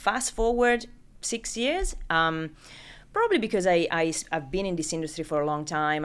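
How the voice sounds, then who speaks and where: This woman talks at a moderate pace with an Italian accent. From Italy. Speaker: recruitment business founder. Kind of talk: interview.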